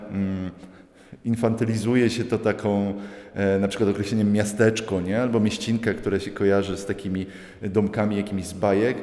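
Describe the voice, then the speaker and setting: Speaking at a fairly quick pace, a man keeps a fairly low pitch and a monotone, flat intonation. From Upper Silesia, Poland (Radzionków). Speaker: visual artist. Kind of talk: interview at art exhibition. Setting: gallery exhibition.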